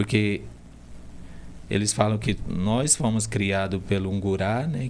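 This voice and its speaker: This man talks at a very slow pace. His pitch sits fairly low. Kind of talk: interview conversation.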